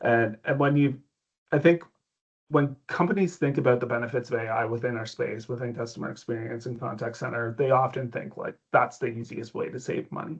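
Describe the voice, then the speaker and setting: In a Canadian accent, a man with a medium-pitched, somewhat breathy voice talks at a fairly quick pace with ordinary pitch variation. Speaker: tech company executive. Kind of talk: interview.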